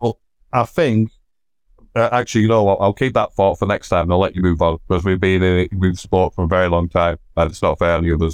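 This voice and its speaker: Very deep, low male voice at a very fast pace, loudness kept very even. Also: fairly even intonation. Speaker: wrestling fan. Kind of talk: casual chat.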